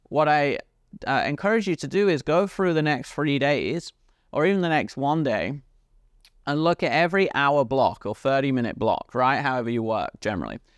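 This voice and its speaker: A man with a British accent speaks at a moderate pace in an animated, energetic tone, with ordinary pitch variation against a quiet background. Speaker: podcast host and business coach. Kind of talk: motivational business monologue.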